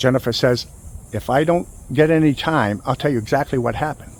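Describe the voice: The speech runs at a fairly quick pace with ordinary pitch variation. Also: man, medium pitch for a man.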